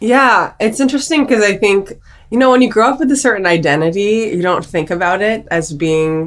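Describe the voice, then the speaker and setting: With an American accent and a normal speaking voice, a woman talks at a fairly quick pace, medium in pitch with lively intonation. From Maryland, US. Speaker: psychiatric nurse practitioner. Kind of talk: podcast interview.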